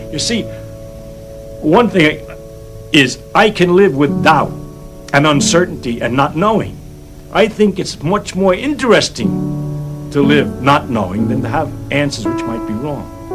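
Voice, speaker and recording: The speaker leaves long, frequent pauses while music plays in the background. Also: man. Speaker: scientist. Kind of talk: interview answer. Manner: passionate.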